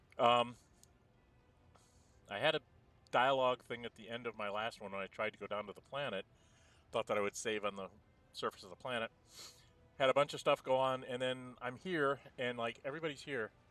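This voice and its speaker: A quiet man's voice at a medium pitch, fairly quick but with long, frequent pauses and ordinary pitch variation, dry and close with no echo and with music in the background. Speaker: gameplay commentator. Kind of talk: casual gameplay commentary. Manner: quiet, low-volume.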